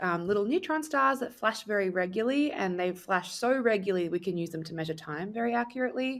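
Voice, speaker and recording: With an Australian accent, the speaker uses lively intonation. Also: woman. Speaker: astrophysics PhD student. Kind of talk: podcast interview.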